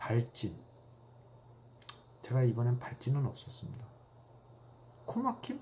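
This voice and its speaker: The speech comes at a very slow pace with long, frequent pauses. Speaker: YouTuber. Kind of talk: casual monologue.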